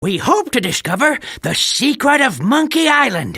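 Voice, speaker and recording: Cackling in a put-on character voice, a man raises and projects his voice. His pitch swings very widely. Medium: video game. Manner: sarcastic, cackling.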